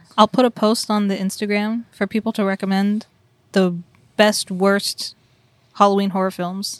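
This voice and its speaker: On a very clean recording with a silent background, the sound is dry and close with no echo. A woman speaks at a medium pitch and moderate pace, with monotone, flat intonation and long, frequent pauses. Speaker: special guest co-host. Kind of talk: casual chat.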